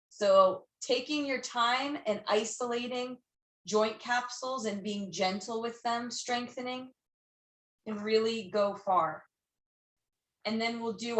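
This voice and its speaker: A woman speaks at a very slow pace. Her pitch is fairly high, with ordinary pitch variation. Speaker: yoga teacher. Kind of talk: guided yoga class instruction. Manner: loud.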